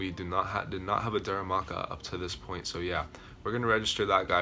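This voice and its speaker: A man with a very deep, low pitch speaks very fast amid noticeable background noise. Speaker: gaming YouTuber. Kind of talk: casual video commentary. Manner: enthusiastic.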